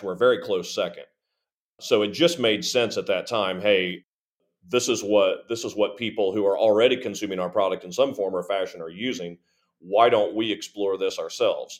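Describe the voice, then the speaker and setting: The background is silent in this very clean recording. A man talks at a moderate pace. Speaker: podcast co-host. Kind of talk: casual chat. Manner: long-winded.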